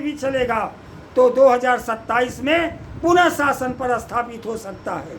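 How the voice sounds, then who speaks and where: This voice is a man's. Ordinary pitch variation runs through his speech. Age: 70s. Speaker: politician, party president. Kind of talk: political commentary monologue.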